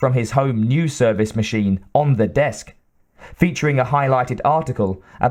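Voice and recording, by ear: Reading aloud happens here in a natural voice. Pitch shifts are ordinary throughout.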